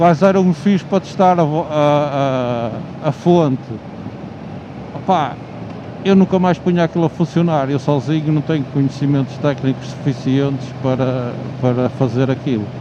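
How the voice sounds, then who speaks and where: Fairly high pitch for a man, ordinary pitch variation, a moderate pace with long, frequent pauses, and noticeable background noise. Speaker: motovlogger. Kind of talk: casual monologue. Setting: riding motorcycle on highway. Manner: loud; halting.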